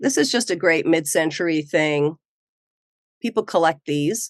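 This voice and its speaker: In a relaxed tone, a woman with a very deep, low voice speaks at a fairly slow pace with ordinary pitch variation. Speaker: eBay reseller. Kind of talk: casual vlog talk. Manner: casual, relaxed.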